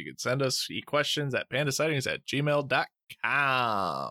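The man's voice is fairly high with a bright, sharp tone and ordinary pitch variation. The recording is very clean and silent in the background, dry and close with no echo. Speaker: podcast co-host. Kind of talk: casual chat among friends.

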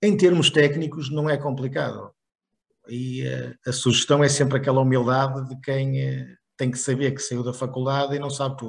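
A man with a northern Portuguese accent speaks at a medium pitch, somewhat breathy, with fairly even intonation. His loudness swings widely, and he leaves long, frequent pauses. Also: moderate pace. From northern Portugal, Barcelos. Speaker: chemical engineer and sales executive. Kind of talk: interview. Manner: hesitant with repetitions.

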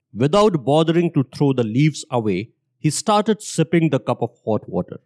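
A man with a dark, mellow tone and a fairly high pitch talks at a moderate pace with very wide pitch swings, the sound dry and close with no echo. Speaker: podcast host and narrator. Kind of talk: storytelling narration, scripted and read aloud. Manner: formal; steady, measured storytelling pace.

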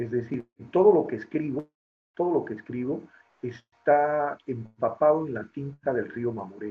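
A man speaks in a normal speaking voice at a fairly slow pace, his pitch fairly high with ordinary variation. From Bolivia, Beni and La Paz. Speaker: poet and writer. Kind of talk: interview.

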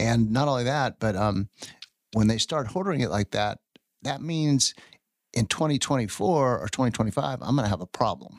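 A man with an unremarkable speaking voice and an American accent talks at medium pitch and a fairly quick pace, with lively intonation, in a dry, close sound with no echo. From Texas, Houston. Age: 50s. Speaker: bourbon distillery owner. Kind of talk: interview. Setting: studio.

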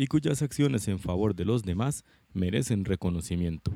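At a fairly slow pace, a man speaks with lively intonation in a dry, close sound with no echo. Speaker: podcast host and football fan. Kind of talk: scripted intro then interview; interview. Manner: halting, many fillers.

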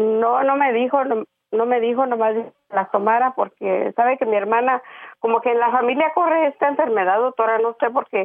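A woman speaks in a high voice. Her pace is moderate and her intonation fairly even. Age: 60s. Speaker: caller seeking advice on depression. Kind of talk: phone-in call to advice show. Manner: halting, many fillers.

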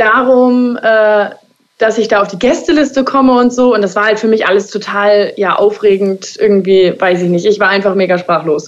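Fairly high in pitch with ordinary variation, a woman talks in an ordinary speaking voice. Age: 20s. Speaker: hairdresser. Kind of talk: interview.

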